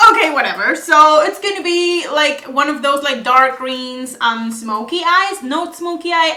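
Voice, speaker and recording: In a Spanish accent, a woman speaks in a raised, projected voice with lively intonation. Her pace is fairly slow. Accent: Spanish-accented English, non-native. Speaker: beauty vlogger. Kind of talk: makeup tutorial. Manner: casual, hesitant with fillers.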